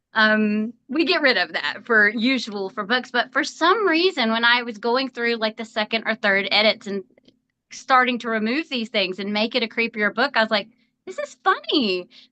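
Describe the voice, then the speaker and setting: A woman with a Southern US accent speaks at a moderate pace with fairly high pitch. Her tone is bright and sharp, and the sound is dry and close with no echo. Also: lively intonation. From US South. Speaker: author. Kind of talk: interview.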